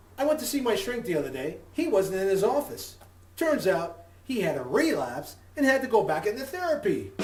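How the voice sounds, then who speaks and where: A man's extremely high voice with very wide pitch swings, moderate pace, and audible room echo. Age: 60s. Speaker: comedian. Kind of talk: stand-up.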